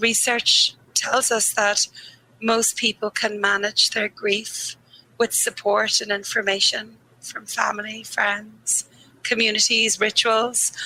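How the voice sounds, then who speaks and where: A woman with a Dublin accent speaks at a very slow pace, her pitch fairly high. Her intonation is monotone and flat, in a dry, close sound with no echo. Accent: Irish (Dublin). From Ireland, Dublin. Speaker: grief therapist. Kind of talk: interview conversation.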